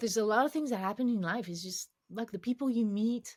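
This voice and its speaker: A slight French accent comes through in a very clean recording with a silent background. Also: woman. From France, Paris. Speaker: cognitive scientist, game UX expert. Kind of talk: interview conversation. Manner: halting with many false starts.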